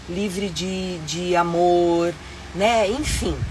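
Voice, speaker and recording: A woman with a medium pitch is heard amid audible room echo and noticeable background noise. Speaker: live stream host, traveler. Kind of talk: live stream chat. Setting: inside her vehicle home. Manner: animated.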